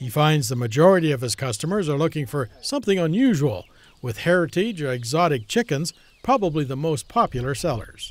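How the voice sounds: A man with a fairly high pitch and big pitch swings at a fairly quick pace.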